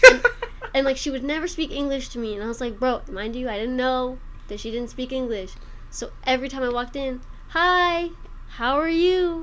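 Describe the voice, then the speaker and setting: A woman talks in a high voice with ordinary pitch variation and an animated tone, at a moderate pace. Audible room echo surrounds her. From Albuquerque area, New Mexico. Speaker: comedian. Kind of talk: casual chat.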